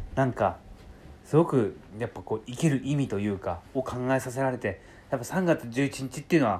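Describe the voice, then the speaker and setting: Speaking at a fairly quick pace, a man with a medium pitch sounds somewhat breathy, his pitch varying in an ordinary way. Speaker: podcast host and writer trainer. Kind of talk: solo monologue. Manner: fast, sometimes stumbling.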